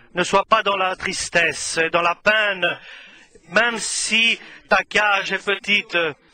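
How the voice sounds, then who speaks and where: A man's raised, projected voice, high-pitched and monotone, at a very slow pace. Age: 60s. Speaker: preacher. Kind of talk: sermon. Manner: halting.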